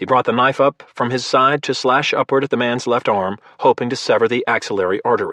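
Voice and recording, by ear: A text is read aloud here in a natural voice.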